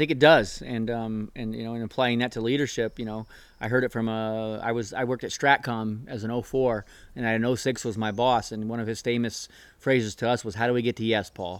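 This man has a Californian accent and a medium pitch. He talks at a fairly quick pace in a monotone, flat intonation. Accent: Californian American. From US West Coast, San Diego area. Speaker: naval officer and program officer. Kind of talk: casual chat. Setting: outdoors on a backyard patio.

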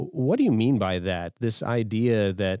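On a very clean recording with a silent background and a dry, close sound with no echo, a man has an unremarkable speaking voice, a moderate pace and ordinary pitch variation. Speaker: army chaplain and podcast host. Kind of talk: podcast interview.

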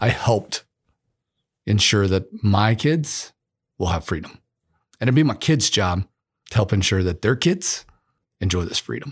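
Speaking with lively intonation at a fairly low pitch, a man is heard in a dry, close sound with no echo. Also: moderate pace, very clean recording, silent background. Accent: American. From US Midwest, Missouri. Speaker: podcast host, senior military leader. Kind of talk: casual chat.

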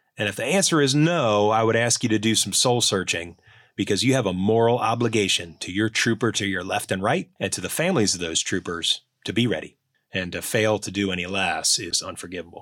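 A man's plain, everyday voice with an American accent, fairly low in pitch, at a fairly quick pace with ordinary pitch variation, on a very clean recording with a silent background. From Ohio, Cincinnati. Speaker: army colonel. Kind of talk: podcast interview. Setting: studio.

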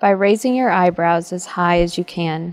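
A woman speaks at a fairly slow pace with medium pitch and ordinary pitch variation, in a plain, everyday voice. The recording is very clean, with a silent background. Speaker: meditation guide. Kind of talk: guided meditation. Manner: slow, calm, soothing, with long pauses; gentle, measured, instructive.

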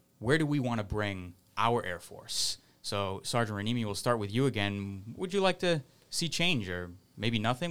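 In a very clean recording with a silent background, a man speaks at medium pitch with an American accent. He has a normal speaking voice and keeps a moderate pace. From Massachusetts, Fall River. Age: 20s. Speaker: airman, panel moderator. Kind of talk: casual panel discussion.

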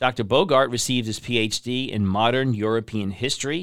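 Here a man uses a normal speaking voice at a medium pitch with ordinary pitch variation. The recording is very clean and the background silent. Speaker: podcast host. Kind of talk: interview.

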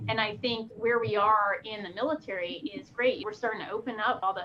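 A woman talks in a normal speaking voice at a fairly quick pace. Her pitch is fairly high. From Pennsylvania, Poconos. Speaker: military officer and pilot. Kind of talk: interview.

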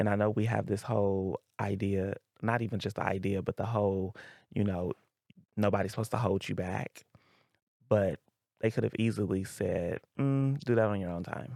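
The voice moves at a moderate pace with long, frequent pauses and ordinary pitch variation. The sound is dry and close, with no echo. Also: man, fairly low pitch for a man. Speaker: school counselor and soldier. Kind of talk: podcast interview.

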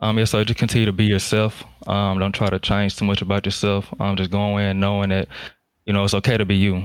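A fairly low-pitched man talks very fast in a monotone, flat delivery at very even loudness, on a very clean recording with a silent background. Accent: Southern US. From US South, Jackson, Mississippi. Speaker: Air Force firefighter. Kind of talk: interview.

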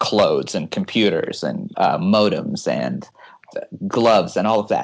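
Here a man speaks in a Californian accent. His pace is fairly slow. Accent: Californian American. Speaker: air force research officer. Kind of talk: interview.

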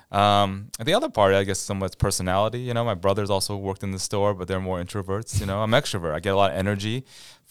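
Fairly quick speech from a man with a Midwestern accent, a fairly low pitch, and fairly even intonation, in a very clean recording with a silent background. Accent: General American (Midwest). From US Midwest, near Cleveland, Ohio. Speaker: military chaplain. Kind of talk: casual interview.

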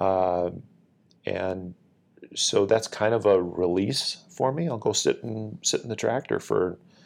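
In a very clean recording with a silent background, a man with an Upper Midwest accent speaks at a very slow pace. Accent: Upper Midwest (Minnesota). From Minnesota, Northfield. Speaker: military senior enlisted leader. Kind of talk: interview, casual chat.

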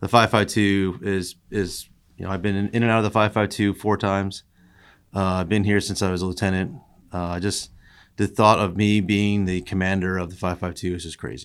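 A man with an American accent speaks at a fairly low pitch and a moderate pace, in a monotone, flat intonation. The recording is very clean, with a silent background. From US Northeast, Long Island, New York. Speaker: air force wing commander. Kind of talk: interview. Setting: conference room.

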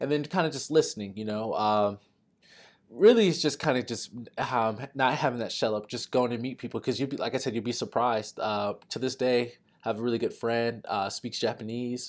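In an American accent, a man with an unremarkable speaking voice talks at a medium pitch with ordinary pitch variation on a very clean recording with a silent background. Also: fairly quick pace. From Texas. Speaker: Air National Guard staff sergeant. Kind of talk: podcast interview.

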